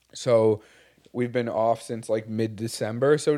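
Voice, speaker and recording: With a Montreal accent, a man speaks at a fairly slow pace. His medium-pitched voice has a dark, mellow tone. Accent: Montreal English Canadian. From Quebec, Montreal. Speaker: podcast co-host, business owner. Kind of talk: casual chat. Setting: studio with video.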